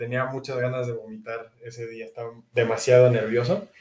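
A man talks at a medium pitch. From Mexico. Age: 20s. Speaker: university student and rugby player. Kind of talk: casual interview. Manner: halting, repeats words.

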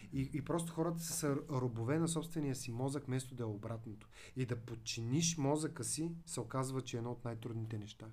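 Speaking at a fairly quick pace, a man with medium pitch has a dark, mellow, somewhat breathy tone and ordinary pitch variation. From Bulgaria, Veliko Tarnovo. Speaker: digital marketing agency director and lecturer. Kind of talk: podcast interview.

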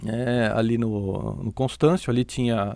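A man's plain, everyday voice at a fairly slow pace, with ordinary pitch variation. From Brazil, São Paulo. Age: 50s. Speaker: athletics coach. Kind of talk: casual interview.

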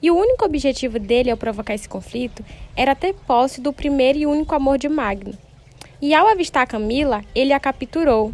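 At a fairly quick pace, a woman speaks with a high pitch and lively intonation in a very clean recording with a silent background. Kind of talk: dramatic narration of a telenovela-style story, like a soap opera announcer. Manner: animated, suspenseful, theatrical delivery with raised intensity at the cries of alarm; formal, storyteller's pacing, building mystery.

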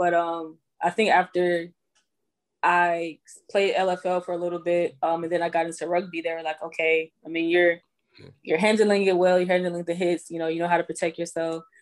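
A woman talks at a fairly quick pace in an ordinary speaking voice. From Houston, Texas. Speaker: professional football player and entrepreneur. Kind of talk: interview.

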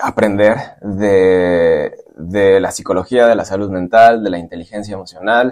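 The man's pitch sits fairly low. He takes a fairly slow pace. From Michoacán, Mexico. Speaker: civil engineer. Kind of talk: casual interview. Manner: halting, many fillers.

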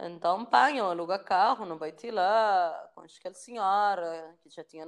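A woman with an unremarkable speaking voice at medium pitch, fairly slow, with ordinary pitch variation and big swings in loudness. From Cape Verde, São Vicente. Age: 30s. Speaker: filmmaker. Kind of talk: interview.

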